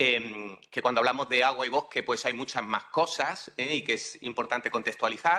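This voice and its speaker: At a moderate pace and with hardly any pauses, a man with a medium pitch speaks in a bright, sharp tone with ordinary pitch variation. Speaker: university professor. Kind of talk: conference talk. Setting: conference hall with live and online audience. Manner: halting, many filler sounds.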